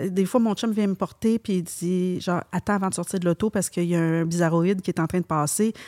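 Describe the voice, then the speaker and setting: Woman at a medium pitch and fairly quick pace, fairly even in intonation, dry and close with no echo on a very clean recording with a silent background. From Quebec, Montreal. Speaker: hairdresser and salon owner. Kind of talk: casual interview.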